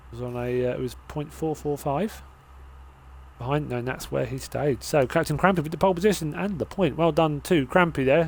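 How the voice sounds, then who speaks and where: A fairly quick delivery with a British accent and ordinary pitch variation. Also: man, fairly high pitch for a man. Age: 30s. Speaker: sim racing commentator. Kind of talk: live commentary. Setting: live stream.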